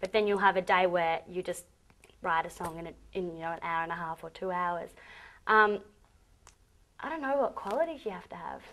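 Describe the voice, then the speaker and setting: With an Australian accent, a woman speaks fairly quickly in a fairly low voice, her pitch varying in an ordinary way, her loudness swinging widely and her long pauses coming often against a quiet background. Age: young. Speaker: pop singer. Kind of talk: interview. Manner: hesitant, many ums.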